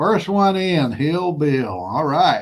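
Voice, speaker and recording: A man speaks with a Southern US accent. The recording is very clean, with a silent background. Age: 60s. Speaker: prepper channel host. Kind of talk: casual livestream chat. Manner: plain-spoken, unpolished.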